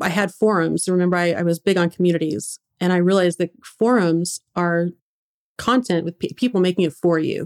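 In a dry, close sound with no echo, a woman with a fairly low pitch talks at a fairly quick pace with fairly even intonation in an unremarkable speaking voice. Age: 30s. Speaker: blogger and internet entrepreneur. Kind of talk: interview.

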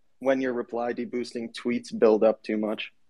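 The speaker is a man. His pitch is medium. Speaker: crypto space participant. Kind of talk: casual chat in an online audio space. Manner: halting, repeats words.

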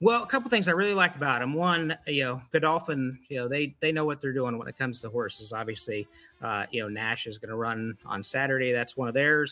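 Over noticeable background noise, the speaker talks at a fairly quick pace with hardly any pauses and ordinary pitch variation. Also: man, medium pitch for a man. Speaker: fantasy league participant. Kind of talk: casual chat, draft picks.

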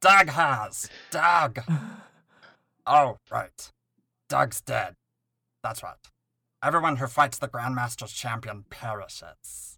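A put-on character voice, raspy and low-to-middle in pitch, moves at a fairly slow pace. Long, frequent pauses break it up. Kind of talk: comic impression. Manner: deadpan, chatty.

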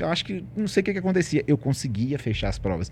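A somewhat breathy male voice, fairly high-pitched and dark and mellow in tone, with very wide pitch swings. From Ribeirão das Neves, Minas Gerais, Brazil. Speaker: financial coach and entrepreneur. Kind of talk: casual interview chat.

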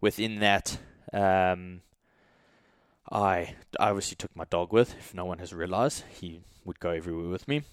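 A man's very deep, low voice with a relaxed tone, ordinary pitch variation, a moderate pace, long, frequent pauses, big swings in loudness, and a dry, close sound with no echo. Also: very clean recording, silent background. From South Africa. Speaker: strength coach and podcast host. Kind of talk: casual solo podcast update. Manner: relaxed, frequent fillers.

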